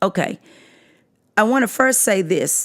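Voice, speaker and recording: Lively intonation from a woman, her delivery very slow. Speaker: podcast host and English teacher. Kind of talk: casual podcast commentary. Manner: halting, many fillers.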